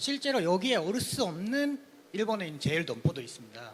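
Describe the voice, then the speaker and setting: This man talks with a high pitch and pitch swings that are very wide. His pace is moderate. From Japan. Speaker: audience member, office worker. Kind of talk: audience question.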